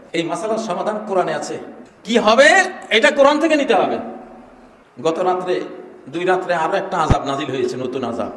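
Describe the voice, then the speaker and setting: A man's passionate, high-pitched voice with very wide pitch swings, set against noticeable background noise. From Bangladesh. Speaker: Islamic scholar delivering a sermon. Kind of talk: Islamic sermon (waz) to a crowd, political-religious commentary. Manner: forceful, passionate, rhetorical.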